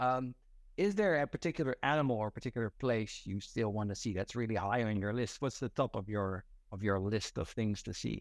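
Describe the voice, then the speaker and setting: Against a quiet background, a man in a Dutch accent talks at a medium pitch and fairly quick pace with ordinary pitch variation. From Netherlands. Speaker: podcast host. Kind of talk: casual interview.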